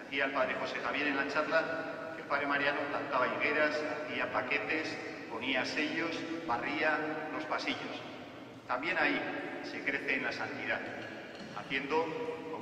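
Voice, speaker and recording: A man talks at a moderate pace with fairly even intonation. Audible room echo and light background noise surround his voice. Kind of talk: sermon. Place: church.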